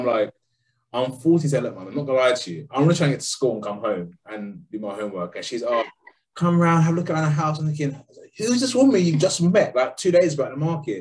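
A somewhat breathy man with a London accent, fairly high in pitch, racing along very fast with very wide pitch swings. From London, England. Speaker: podcast co-host. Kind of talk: casual chat.

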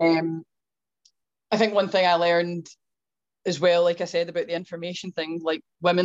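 A Scottish accent in a dry, close sound with no echo. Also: woman. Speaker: gym owner, fitness coach. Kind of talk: casual chat.

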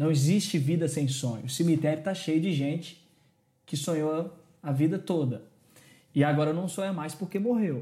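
With a dark, mellow tone and fairly high pitch, a man talks at a moderate pace using ordinary pitch variation. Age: 20s. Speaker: youth pastor. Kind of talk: religious discussion podcast.

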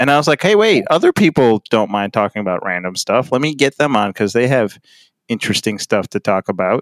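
On a very clean recording with a silent background, a man with an ordinary speaking voice talks at medium pitch with lively intonation. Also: fairly quick pace. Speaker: podcast host. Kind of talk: casual banter.

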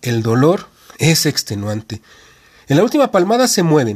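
A man's voice, somewhat breathy and fairly high in pitch, proceeds at a moderate pace. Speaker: podcast host reading a wrestling narrative. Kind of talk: reading aloud a wrestling match account, narrated play-by-play as if live commentary. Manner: animated, brisk blow-by-blow delivery that builds tension with short punchy phrases.

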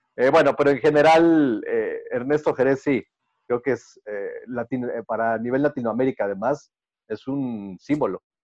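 A man speaks at a fairly slow pace with medium pitch and ordinary pitch variation. The sound is dry and close with no echo, against a quiet background. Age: 30s. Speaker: baseball play-by-play announcer and sports TV presenter. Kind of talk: casual interview. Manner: halting, many repeated words and fillers.

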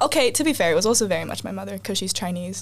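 A woman with an American accent talks while noticeable background noise is present. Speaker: multilingual musician and student. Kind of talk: casual chat.

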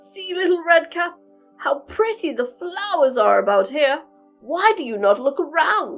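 Over faint background music, a woman performs a put-on character voice at a moderate pace. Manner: sly, coaxing.

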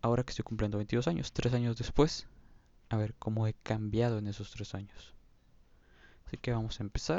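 A man with a Mexican accent talks at a fairly quick pace and a medium pitch, with long, frequent pauses. His intonation stays fairly even. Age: 20s. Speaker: podcaster. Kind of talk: casual monologue.

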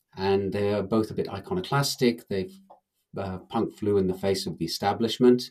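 This man has an English accent and a fairly low pitch. He keeps a moderate pace and fairly even intonation. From England. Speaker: blockchain researcher and author. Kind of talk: interview.

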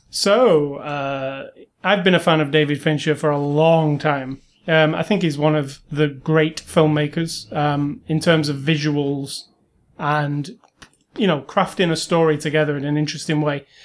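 A British accent at a fairly slow pace with fairly even intonation. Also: man, fairly high pitch for a man. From Britain. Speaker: podcast co-host. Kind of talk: casual chat.

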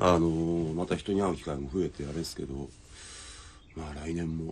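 In a relaxed tone, a man speaks with a very deep, low pitch. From Saitama, Japan (Iruma). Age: 30s. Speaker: talk show host. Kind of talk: casual chat. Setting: remote video call. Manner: relaxed, frequent laughter.

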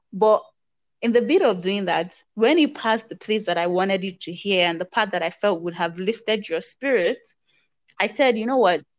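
A woman speaks with a Nigerian accent at a moderate pace. Her pitch varies in an ordinary way over a quiet background. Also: medium pitch for a woman. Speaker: podcast co-host. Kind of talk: casual chat.

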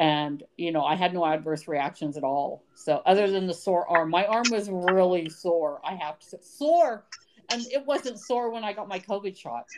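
This woman has an American accent and a normal speaking voice at medium pitch. She talks at a moderate pace with lively intonation. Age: 50s. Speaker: podcast co-host. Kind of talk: casual chat.

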